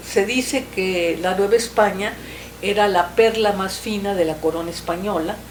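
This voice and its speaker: A woman at medium pitch and moderate pace, fairly even intonation, audible room echo and noticeable background noise. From Mexico. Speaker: writer, historical novelist. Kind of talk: interview. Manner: halting, with frequent fillers.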